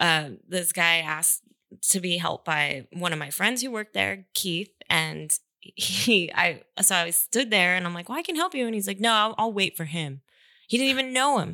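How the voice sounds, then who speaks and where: A woman speaks at a moderate pace with vocal fry and a fairly low pitch. Her tone is bright and sharp, in a dry, close sound with no echo. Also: very clean recording, silent background. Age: 30s. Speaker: artist. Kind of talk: casual chat.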